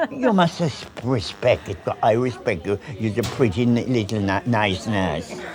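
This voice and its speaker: A man talks at a fairly slow pace with lively intonation over noticeable background noise. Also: medium pitch for a man. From Caribbean. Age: 80s+. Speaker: hospital patient. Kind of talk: casual chat. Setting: hospital emergency department. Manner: halting.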